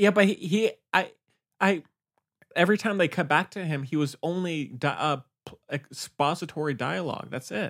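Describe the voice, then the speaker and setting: This man's voice is high-pitched, dry and close with no echo, on a very clean recording with a silent background. His loudness swings a lot. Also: moderate pace. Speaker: podcast host. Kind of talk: casual chat. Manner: monotone.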